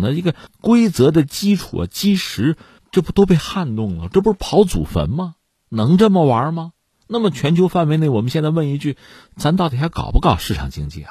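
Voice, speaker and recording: A man with a dark, mellow tone and fairly high pitch, very wide pitch swings and a fairly quick pace, against a quiet background. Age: middle-aged. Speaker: news commentator. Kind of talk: news commentary monologue. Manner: animated.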